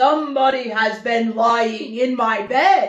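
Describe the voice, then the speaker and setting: A woman's raspy, put-on character voice, fairly high in pitch and at a fairly slow pace. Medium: read story. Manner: slow, heavy, grumbling.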